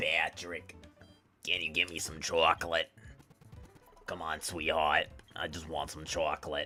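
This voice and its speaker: This put-on character voice is raspy and very deep and low in pitch, moving at a moderate pace with faint music in the background. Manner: cartoon impression.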